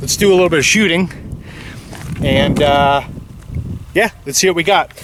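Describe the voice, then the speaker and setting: Noticeable background noise runs through the clip. The speaker's pitch varies in an ordinary way. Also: man. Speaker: gun channel host. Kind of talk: casual tutorial. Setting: outdoors. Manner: loud.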